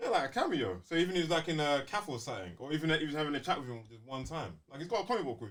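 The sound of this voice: A man races along at a very fast pace, his fairly high, fairly bright voice making big pitch swings.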